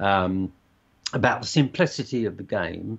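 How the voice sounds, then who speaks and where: At a fairly slow pace, a man speaks with a southern English accent. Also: quiet background. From southern England (Surrey / Hertfordshire). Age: 70s. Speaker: basketball coach. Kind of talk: interview. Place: home room. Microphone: video call.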